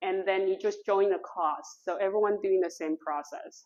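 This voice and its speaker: A woman's medium-pitched voice with a Taiwanese accent, lively intonation and a moderate pace. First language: Mandarin Chinese. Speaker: printmaker and studio owner. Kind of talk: artist talk. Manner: halting, non-native phrasing.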